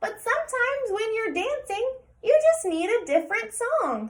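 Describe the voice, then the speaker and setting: A woman's put-on character voice, squeaky and extremely high, with a gentle tone, very wide pitch swings and a moderate pace. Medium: read story. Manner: gentle, encouraging.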